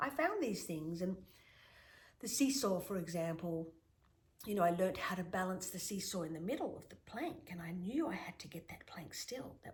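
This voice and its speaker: Somewhat breathy and at medium pitch, a woman talks at a moderate pace with lively intonation and big swings in loudness. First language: Greek. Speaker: shaman and author. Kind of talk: interview.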